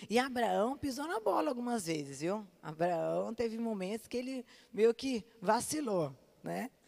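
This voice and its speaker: A woman's voice with lively intonation at a fairly slow pace. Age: 30s. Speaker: pastor. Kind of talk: sermon.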